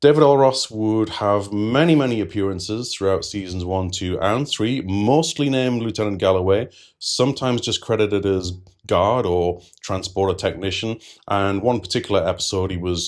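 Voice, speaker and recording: In a British accent, this voice moves at a moderate pace with ordinary pitch variation over a very clean recording with a silent background. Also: man, fairly low pitch for a man. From United Kingdom. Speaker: TV series reviewer. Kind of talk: video review commentary.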